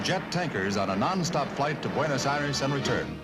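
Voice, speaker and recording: A man at a fairly quick pace, music in the background. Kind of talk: newsreel narration.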